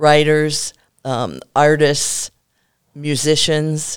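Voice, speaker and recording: A woman with an American accent speaks at a very deep, low pitch. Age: 70s. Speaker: novelist. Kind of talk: casual interview chat.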